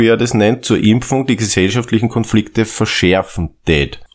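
A man at a medium pitch and moderate pace, with ordinary pitch variation and a normal speaking voice. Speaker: podcast co-host. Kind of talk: casual comedic chat.

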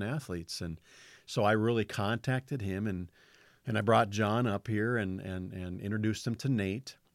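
An ordinary speaking voice from a man, with ordinary pitch variation, on a very clean recording with a silent background. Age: 50s. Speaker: fence contractor and former rancher, ministry worker. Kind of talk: testimony.

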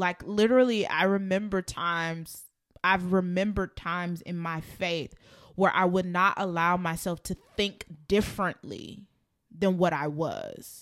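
At a fairly slow pace, a woman uses a normal speaking voice with medium pitch and fairly even intonation, in a very clean recording with a silent background. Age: 20s. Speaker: podcast co-host. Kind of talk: casual chat.

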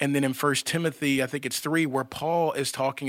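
On a very clean recording with a silent background, a man speaks fairly quickly at medium pitch in a monotone, flat intonation. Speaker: pastor. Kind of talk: casual chat.

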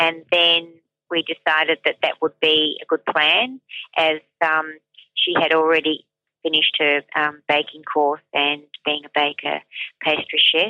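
A woman speaks at a very deep, low pitch with fairly even intonation. Her pace is fairly slow, with long, frequent pauses. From Serbia. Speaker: retired small business owner. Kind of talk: interview. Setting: phone call.

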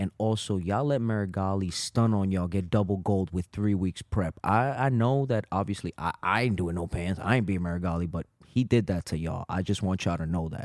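In a New York accent, a man with a very deep, low pitch and ordinary pitch variation talks at a fairly quick pace with hardly any pauses, in a dry, close sound with no echo on a very clean recording with a silent background. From Brooklyn, New York. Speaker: jiu-jitsu instructor and podcast co-host. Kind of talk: casual chat.

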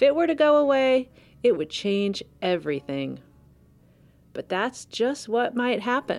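At a fairly slow pace with long, frequent pauses, a woman speaks in a high pitch that swings very widely. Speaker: podcast host and narrator. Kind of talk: scripted narration.

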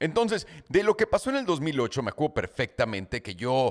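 Speaking at a fairly quick pace in an animated tone, a man swings his pitch very widely on a very clean recording with a silent background and a dry, close sound with no echo. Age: 30s. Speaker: podcast host. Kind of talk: casual monologue.

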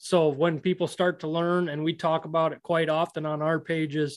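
A man speaks with an American accent at a moderate pace. He has an ordinary speaking voice with fairly high pitch. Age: 30s. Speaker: podcast host, predator hunter. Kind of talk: casual interview.

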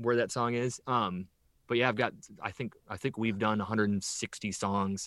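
This man has an ordinary speaking voice with an American accent and a medium pitch. He talks at a moderate pace with fairly even intonation. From northern Illinois, US Midwest. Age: 40s. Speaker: rock drummer. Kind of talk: casual interview chat. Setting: remote call.

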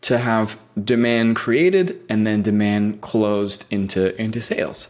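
A man with an American accent has a normal speaking voice, medium in pitch, and talks at a fairly slow pace. The recording is very clean, with a silent background. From US West Coast, San Francisco Bay Area. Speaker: agency founder and CEO. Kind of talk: interview.

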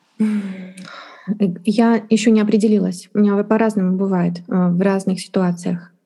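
A woman speaks very slowly in a dark, mellow, somewhat breathy tone, her delivery monotone and flat, very even in loudness, with hardly any pauses. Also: medium pitch for a woman. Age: 40s. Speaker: Chinese interpreter and translation teacher. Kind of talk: interview.

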